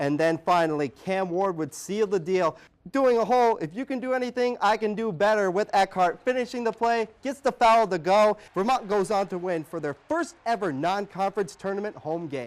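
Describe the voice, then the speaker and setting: A man speaks at a moderate pace in a high voice with lively intonation and hardly any pauses, recorded very cleanly against a silent background. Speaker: sports reporter. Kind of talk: sports highlights play-by-play voiceover.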